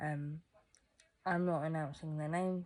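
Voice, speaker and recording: A woman speaks in a very deep, low pitch with a dark, mellow tone. Her intonation is monotone and flat. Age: 20s. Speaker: vlogger. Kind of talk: personal vlog monologue. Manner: halting, self-correcting.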